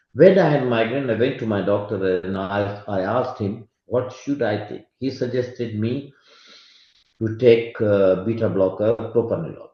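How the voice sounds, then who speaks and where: A man's somewhat breathy voice at medium pitch. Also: ordinary pitch variation, moderate pace. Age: 60s. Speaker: medical expert speaker. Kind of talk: lecture. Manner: halting.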